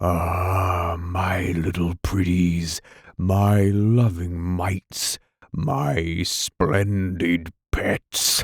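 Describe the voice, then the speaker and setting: A man speaks at a very slow pace. His very deep, low voice keeps fairly even intonation. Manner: contentedly burbling.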